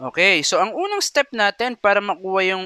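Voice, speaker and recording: A man with a high pitch and a bright, sharp tone raises and projects his voice at a fairly slow pace in a dry, close sound with no echo. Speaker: math teacher. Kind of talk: lecture. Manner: frequent hesitations.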